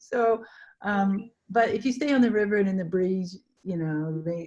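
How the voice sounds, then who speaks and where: A woman of medium pitch speaks at a moderate pace, somewhat breathy, with a dark, mellow tone. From Canada. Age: 60s. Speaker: adventurer, solo traveller. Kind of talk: interview answer.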